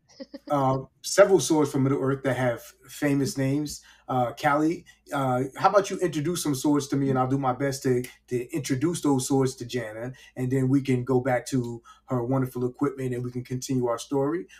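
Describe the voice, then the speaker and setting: A man with a New York accent, in a very clean recording with a silent background. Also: medium pitch for a man, fairly quick pace. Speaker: podcast host. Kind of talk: casual chat. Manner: animated.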